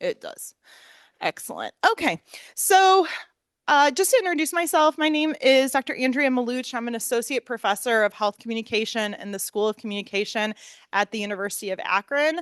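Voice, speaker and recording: A woman with an American accent speaks loudly and fairly quickly at a high pitch, with very wide pitch swings. The background is quiet. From US Midwest, Northeast Ohio. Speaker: professor. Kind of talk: lecture. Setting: room with live audience, also streamed online.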